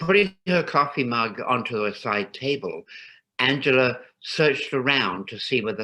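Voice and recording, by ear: Lively intonation while reading aloud in a natural voice, over a quiet background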